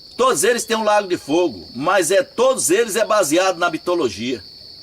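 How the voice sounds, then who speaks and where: A man's high-pitched voice, lively in intonation and fairly slow, with noticeable background noise. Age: 60s. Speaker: religious teacher. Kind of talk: religious talk. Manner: informal.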